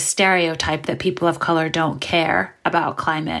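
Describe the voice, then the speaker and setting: A woman with a normal speaking voice talks at a moderate pace and a fairly low pitch in an American accent. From New York City, Brooklyn. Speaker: marine biologist and writer. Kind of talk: interview.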